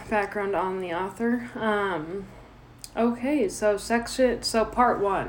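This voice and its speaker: A woman speaks very slowly in a fairly high voice, her intonation fairly even. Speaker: podcast host. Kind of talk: casual chat. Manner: stutters.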